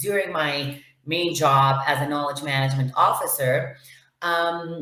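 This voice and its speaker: A woman speaks at a fairly low pitch. Room echo can be heard. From Venezuela. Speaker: lawyer and knowledge management officer. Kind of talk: interview. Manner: hesitant, many fillers.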